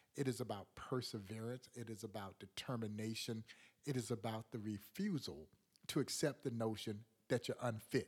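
With an American accent, the speaker keeps a moderate pace and ordinary pitch variation. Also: man. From US South, rural Georgia. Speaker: museum president. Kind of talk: interview, storytelling. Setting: studio.

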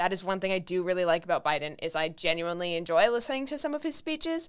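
On a very clean recording with a silent background, a woman with an American accent and a normal speaking voice talks at a medium pitch with lively intonation. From California. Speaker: podcast host, college student. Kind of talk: casual political discussion; opinion monologue.

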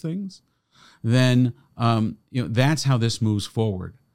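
In an ordinary speaking voice with an American accent, the speaker talks at a moderate pace with lively intonation, in a very clean recording with a silent background. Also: man. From United States. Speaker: rabbi. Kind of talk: interview conversation. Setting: studio.

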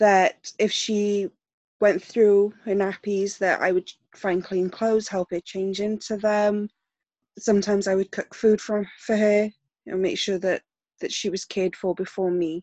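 A woman talks in a flat monotone with a South Welsh accent. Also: medium pitch for a woman, fairly slow pace. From South Wales. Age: 20s. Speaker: survivor sharing personal story. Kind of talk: testimony.

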